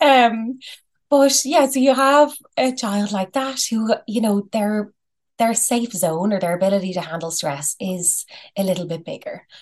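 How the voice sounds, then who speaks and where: A woman with a fairly high voice and an Irish accent speaks at a fairly slow pace with lively intonation over a quiet background. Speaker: psychologist. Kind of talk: interview. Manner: calm.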